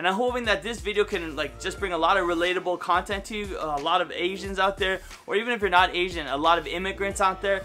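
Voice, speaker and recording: A man talks very fast with a high pitch, fairly even intonation and hardly any pauses, with music playing behind him. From Canada, St. Catharines, Ontario. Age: 30s. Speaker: YouTuber. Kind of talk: casual vlog monologue.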